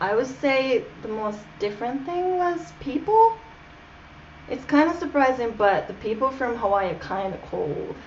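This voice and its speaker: A woman talks at a moderate pace in a high voice. Her pitch swings very widely, and there is noticeable background noise. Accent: Japanese. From Japan. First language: Japanese. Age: 20s. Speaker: interview guest. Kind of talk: casual interview.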